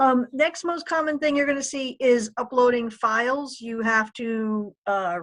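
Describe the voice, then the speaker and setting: Over a quiet background, a woman talks at a moderate pace in a normal speaking voice with ordinary pitch variation. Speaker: librarian giving a tutorial. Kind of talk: tutorial.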